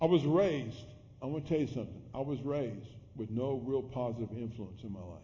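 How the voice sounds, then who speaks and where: A man's very fast, somewhat breathy speech with ordinary pitch variation. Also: medium pitch for a man, big swings in loudness. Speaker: pastor. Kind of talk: sermon. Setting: church.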